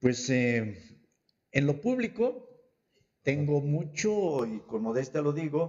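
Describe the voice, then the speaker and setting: At a very slow pace, a man with a fairly high pitch speaks with lively intonation. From Chiapas, Mexico. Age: 70s. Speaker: politician. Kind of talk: political interview. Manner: halting, many fillers.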